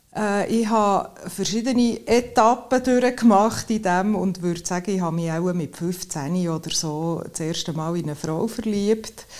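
Against noticeable background noise, a woman of medium pitch speaks at a fairly slow pace with hardly any pauses. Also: ordinary pitch variation. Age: 50s. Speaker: accident prevention sports specialist. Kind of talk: casual interview. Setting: outdoors at sunset.

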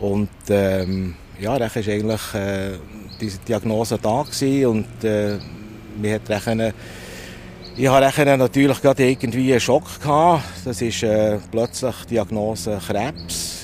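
A man's fairly low voice at a fairly slow pace, with long, frequent pauses, ordinary pitch variation and noticeable background noise. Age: 60s. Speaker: veterinarian, cancer patient. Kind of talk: interview testimony. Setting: outdoors at a train station bench.

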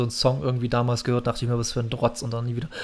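A man speaks very fast at a medium pitch in a monotone, flat delivery. Noticeable background noise runs underneath. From Saxony, eastern Germany (Bautzen). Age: 30s. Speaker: podcast host, hobby drummer. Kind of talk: casual chat.

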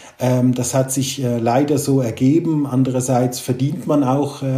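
Noticeable background noise and audible room echo surround the recording. A man of medium pitch speaks at a moderate pace in a monotone, flat way. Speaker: private banker. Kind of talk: casual interview.

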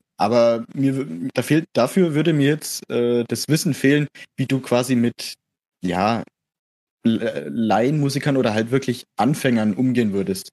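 A man talks at a medium pitch and a fairly slow pace, with ordinary pitch variation and very even loudness. The sound is dry and close, with no echo. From Middle Franconia, near Erlangen. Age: young. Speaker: music student, brass player. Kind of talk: casual interview. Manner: hesitant, many fillers.

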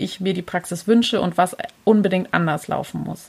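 A woman's voice with fairly even intonation. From southern Germany, Pforzheim area. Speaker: early childhood educator and podcaster. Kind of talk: interview.

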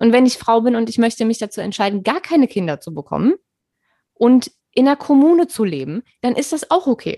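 Fairly quick speech from a woman with a fairly high pitch, very wide pitch swings and a dark, mellow tone, dry and close with no echo. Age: 30s. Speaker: podcast host. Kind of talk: casual chat. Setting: video call.

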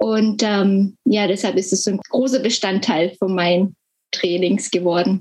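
A woman's somewhat breathy voice at medium pitch, fairly slow, with fairly even intonation and very even loudness. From Germany. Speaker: health communication trainer, former nurse. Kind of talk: interview. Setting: video call from home.

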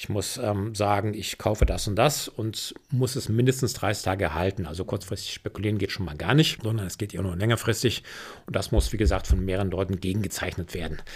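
A man with a fairly low, somewhat breathy voice talks at a fairly quick pace with ordinary pitch variation, on a very clean recording with a silent background. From Rhineland, Germany. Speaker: commodities analyst. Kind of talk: interview.

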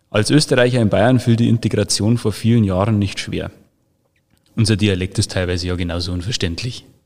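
At a fairly quick pace, a man with an unremarkable speaking voice talks with fairly low pitch and ordinary pitch variation. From Bavaria, Freising. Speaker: social media manager. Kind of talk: casual chat; reading aloud.

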